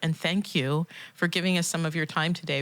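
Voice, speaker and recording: A normal speaking voice at a fairly quick pace. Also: woman. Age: 50s. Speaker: podcast co-host. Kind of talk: interview.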